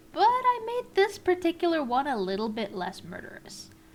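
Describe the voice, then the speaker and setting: Medium-tempo female speech against clearly audible background noise. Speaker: illustrator. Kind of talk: art process voice-over narration.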